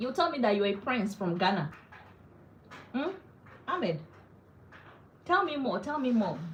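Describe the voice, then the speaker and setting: A woman's fairly high voice with a Nigerian accent, very wide pitch swings and a moderate pace broken by long, frequent pauses, in audible room echo with noticeable background noise. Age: 40s. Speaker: wellness vlogger. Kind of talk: casual live-stream chat. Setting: at home, live stream. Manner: animated.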